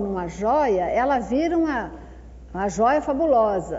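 Lively intonation comes through with noticeable background noise and audible room echo. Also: woman. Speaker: social worker leading a spiritist workshop. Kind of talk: lecture-style workshop talk.

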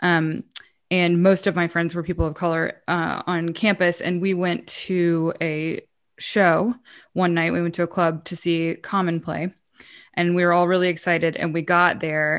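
A woman's fairly low voice in an American accent, monotone and flat, at a moderate pace over a quiet background. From US South. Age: 40s. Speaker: musician and advocate. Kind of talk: casual chat.

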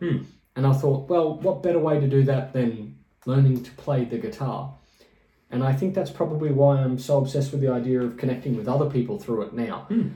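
A dark, mellow, somewhat breathy tone at a fairly quick pace, with ordinary pitch variation. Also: man. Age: 30s. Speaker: podcast co-host and musician. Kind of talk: casual chat.

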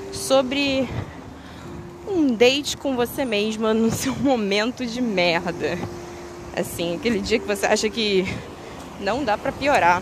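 Speaking at a very slow pace with long, frequent pauses, a woman uses a fairly high pitch and lively intonation against noticeable background noise. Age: 20s. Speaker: podcaster. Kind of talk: personal monologue. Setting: outdoors. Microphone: poor audio quality.

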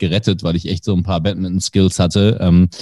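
A man's very deep, low voice with a dark, mellow tone, a fairly quick pace, a dry, close sound with no echo and a very clean recording with a silent background. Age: 30s. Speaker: sports commentator. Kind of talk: casual chat. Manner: relaxed, easy-going.

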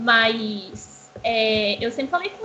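A woman speaks at a high pitch. Noticeable background noise sits behind her. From Brazil, Belo Horizonte. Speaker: game streamer. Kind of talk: casual chat.

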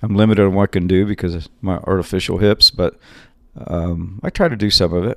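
In a very clean recording with a silent background and a dry, close sound with no echo, a man with an ordinary speaking voice talks at a fairly low pitch and moderate pace with fairly even intonation. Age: 50s. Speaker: boxing coach. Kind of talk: casual interview.

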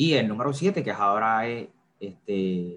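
Medium in pitch, a man speaks with ordinary pitch variation. His is an unremarkable speaking voice. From Puerto Rico, Carolina. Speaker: theology student. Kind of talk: bible teaching in a live chat.

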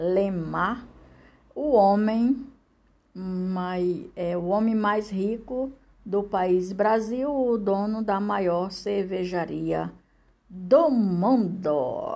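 Audible room echo surrounds a dark, mellow tone delivered at a very slow pace. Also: woman, medium pitch for a woman, ordinary pitch variation. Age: 60s. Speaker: podcaster. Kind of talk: reading aloud. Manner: halting.

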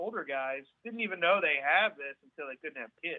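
An ordinary speaking voice from a man, moderate in pace, with lively intonation. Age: 40s. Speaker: parent of child with genetic condition. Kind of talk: podcast interview.

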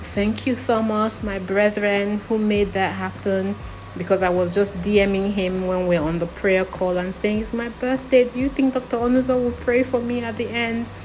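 Noticeable background noise runs through this clip. A woman talks with ordinary pitch variation. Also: medium pitch for a woman, moderate pace, hardly any pauses. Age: 50s. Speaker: podcaster. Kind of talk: personal monologue. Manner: animated.

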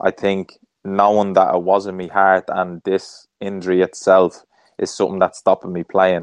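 With a Dublin accent, a man speaks at a moderate pace in a very deep, low pitch and a flat monotone, the sound dry and close with no echo. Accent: Dublin Irish. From Ireland, Dublin. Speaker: former professional footballer. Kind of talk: interview conversation.

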